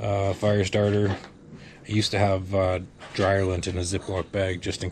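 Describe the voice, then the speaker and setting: Over light background noise, the speech keeps a moderate pace and a flat, monotone intonation. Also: man. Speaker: amateur radio operator and hiker; amateur radio operator. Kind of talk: casual gear walkthrough to camera.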